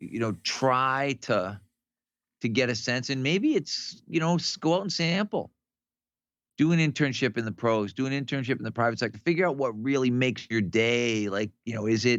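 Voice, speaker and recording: A man with a normal speaking voice talks at a medium pitch and a moderate pace, with lively intonation, against a quiet background. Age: 60s. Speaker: strength coach. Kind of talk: casual podcast conversation.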